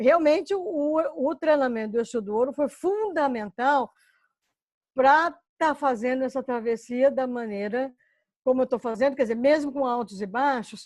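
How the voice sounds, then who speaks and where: A woman with a high pitch and lively intonation at a moderate pace, against a quiet background. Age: 60s. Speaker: course participant. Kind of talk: casual chat. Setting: video call.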